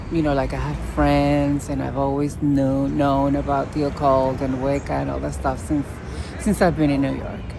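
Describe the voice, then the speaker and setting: A woman with a strong Puerto Rican accent at a moderate pace, with audible room echo and crowd noise in the background. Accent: heavy Puerto Rican. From Puerto Rico. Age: 50s. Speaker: witch vlogger. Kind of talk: casual vlog monologue. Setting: outdoors in a city park. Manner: halting.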